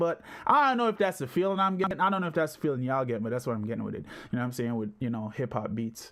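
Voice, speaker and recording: This man's pitch swings very widely as he speaks. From Jamaica. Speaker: music producer streamer. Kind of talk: live stream commentary. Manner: casual, rambling filler-heavy.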